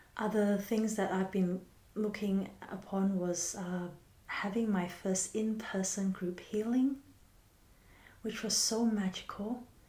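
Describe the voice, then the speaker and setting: A woman's very slow, monotone delivery at a medium pitch, gentle in tone, with flat intonation, long, frequent pauses and noticeable background noise. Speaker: healer and spiritual teacher. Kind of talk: reflective monologue. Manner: soft, slow and gentle.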